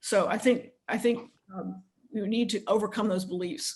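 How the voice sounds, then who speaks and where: A woman with a medium-pitched, somewhat breathy voice speaks with fairly even intonation. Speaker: leadership coach and consultant. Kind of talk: webinar panel discussion. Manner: fast.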